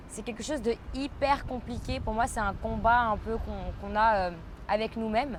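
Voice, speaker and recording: The speaker talks at a fairly slow pace in a Parisian accent with fairly even intonation. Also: woman. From France, Paris. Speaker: podcaster. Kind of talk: casual monologue podcast. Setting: outdoors by a pool. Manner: hesitant, frequent fillers.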